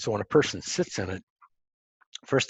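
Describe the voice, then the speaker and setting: A man with an American accent, very fast pace, and a dry, close sound with no echo. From Montana, US. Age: 70s. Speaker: entrepreneur and grounding researcher. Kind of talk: interview. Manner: halting, many fillers.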